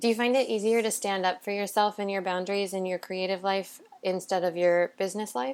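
A woman talks in a normal speaking voice. Her pitch varies in an ordinary way. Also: medium pitch for a woman, fairly quick pace. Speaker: podcast host. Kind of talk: casual interview. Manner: warm, effusive.

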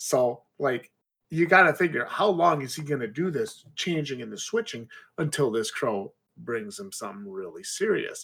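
The voice has a bright, sharp tone with vocal fry and moves at a moderate pace. Its pitch swings very widely and its loudness shifts a lot. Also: man, fairly high pitch for a man. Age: 30s. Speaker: indie author. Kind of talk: casual chat.

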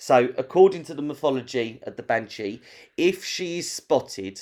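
This is a man with a normal speaking voice. He talks at a moderate pace with ordinary pitch variation. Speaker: podcast host. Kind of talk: casual chat. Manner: chatty, informal.

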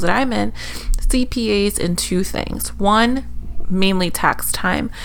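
Amid audible room echo and noticeable background noise, a woman speaks at a fairly slow pace. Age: 30s. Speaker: podcast co-host. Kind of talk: casual chat.

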